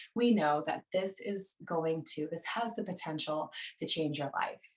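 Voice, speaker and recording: With an American accent, a woman talks at a moderate pace and ordinary pitch variation over noticeable background noise. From United States. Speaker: stepfamily coach co-host. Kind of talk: live webinar presentation. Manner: animated.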